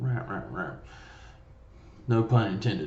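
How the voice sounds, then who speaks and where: A man speaks with a fairly low pitch. Room echo is audible. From US South, small-town Mississippi. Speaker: vlogger. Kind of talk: casual monologue. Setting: home studio room with curtains. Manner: loud; rambling, casual.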